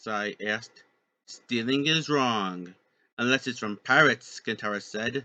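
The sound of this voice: An unforced reading voice with ordinary pitch variation comes through against a quiet background.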